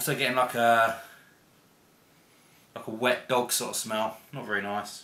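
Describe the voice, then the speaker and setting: A man's medium-pitched voice in an English accent, flat and monotone at a moderate pace, with long, frequent pauses and noticeable background noise. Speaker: beer reviewer. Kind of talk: casual video review.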